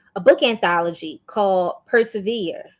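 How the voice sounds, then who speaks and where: Very slowly, a woman speaks at a medium pitch with an American accent. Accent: Baltimore accent, stronger in certain words. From US, Baltimore. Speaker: motivational speaker and art wellness coach. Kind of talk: interview conversation.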